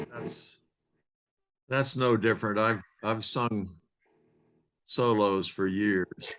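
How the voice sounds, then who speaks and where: Speech comes at a very slow pace with long, frequent pauses and fairly even intonation. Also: man. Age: 90s. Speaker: club member. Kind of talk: casual chat. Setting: video call.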